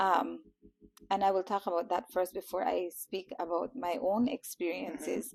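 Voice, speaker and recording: In a Guatemalan accent, a woman speaks with vocal fry and ordinary pitch variation. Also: medium pitch for a woman, moderate pace. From Belize, Toledo area. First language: Kekchi. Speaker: teacher. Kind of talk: interview. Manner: halting, with fillers.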